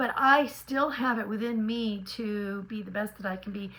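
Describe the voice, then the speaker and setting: A woman speaks with an American accent, her pitch fairly high and its variation ordinary. Noticeable background noise runs behind her. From California. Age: 60s. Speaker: lifestyle vlogger. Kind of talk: casual vlog monologue. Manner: animated.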